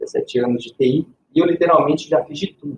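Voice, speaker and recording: A man speaks in a somewhat breathy voice. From Minas Gerais, Brazil; raised in Ribeirão Preto, São Paulo. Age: 30s. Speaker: IT specialist. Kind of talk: podcast panel self-introduction.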